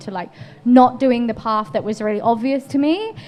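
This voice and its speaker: This woman talks rather briskly, her intonation staying fairly level. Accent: English. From England. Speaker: painter. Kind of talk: interview conversation.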